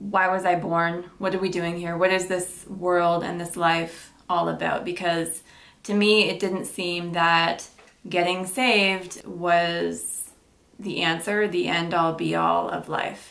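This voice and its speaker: Her intonation monotone and flat, a woman speaks at a fairly low pitch and a very slow pace. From Ontario, Canada. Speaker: YouTuber, former welder; YouTuber. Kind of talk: casual Q&A vlog. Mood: calm, reflective. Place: home room.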